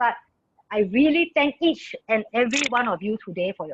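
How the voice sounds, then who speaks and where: A woman's fairly high-pitched voice at a moderate pace, with a dry, close sound and no echo. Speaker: network marketing presenter. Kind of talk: business presentation Q&A. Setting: video call. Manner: loud, excited.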